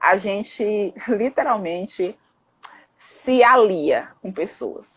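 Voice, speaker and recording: A woman with an animated tone speaks at a fairly high pitch with ordinary pitch variation. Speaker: psychologist and anti-racism activist. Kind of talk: live stream discussion. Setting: online live stream. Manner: fast.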